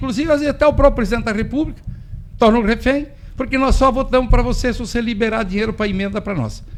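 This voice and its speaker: This man's pitch is extremely high, with ordinary pitch variation. He talks at a very fast pace. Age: 60s. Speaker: farmer. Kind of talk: radio interview. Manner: animated.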